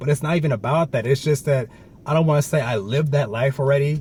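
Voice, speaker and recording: At a very fast pace, a man speaks in a somewhat breathy, fairly high voice with ordinary pitch variation. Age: 20s. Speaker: vlogger and college student. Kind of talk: casual chat. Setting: hot indoor room. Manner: casual, slangy.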